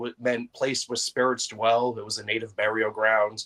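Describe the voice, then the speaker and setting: A man with a Boston accent, heard in a dry, close sound with no echo. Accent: Boston-area New England. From Massachusetts (Brockton). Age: 40s. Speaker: paranormal investigator. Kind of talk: podcast interview.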